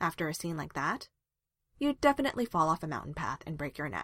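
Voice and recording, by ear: A woman's put-on character voice, low-pitched and fairly bright, with big pitch swings at a fairly quick pace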